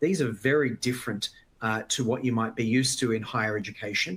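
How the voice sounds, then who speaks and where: Speaking at a medium pitch, this man has an Australian accent. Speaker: conference speaker, education organization president. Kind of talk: conference presentation.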